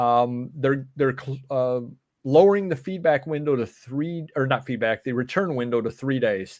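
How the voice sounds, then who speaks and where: The recording is very clean, with a silent background. The pace is moderate, with an upstate New York accent. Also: man, medium pitch for a man, ordinary pitch variation. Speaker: reselling show host. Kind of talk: casual chat. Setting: live stream.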